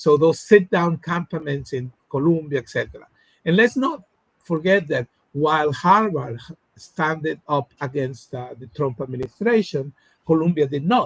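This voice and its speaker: Lively in intonation, a man with a Spanish accent speaks at a moderate pace and fairly high pitch, the sound dry and close with no echo. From Latin America. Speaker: academic researcher. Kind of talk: interview discussion. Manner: halting, many fillers.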